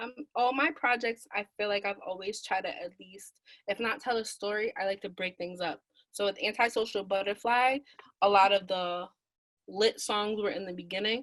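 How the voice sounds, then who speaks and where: A woman's unremarkable speaking voice with an American accent, medium pitch, moderate pace and ordinary pitch variation. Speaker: rapper and singer. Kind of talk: interview answer.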